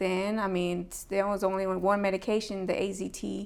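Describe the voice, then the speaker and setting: A woman with an American accent speaks at a medium pitch in a monotone, flat way. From Texas, Rio Grande Valley (Harlingen). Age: 30s. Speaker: HIV peer advocate. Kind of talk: interview. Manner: hesitant, many fillers.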